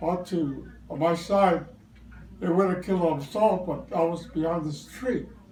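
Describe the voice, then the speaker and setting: The speech moves at a fairly slow pace with fairly even intonation over noticeable background noise. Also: man, high pitch for a man. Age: 90s. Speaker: war veteran. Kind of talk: interview answer. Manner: hesitant, hard to follow.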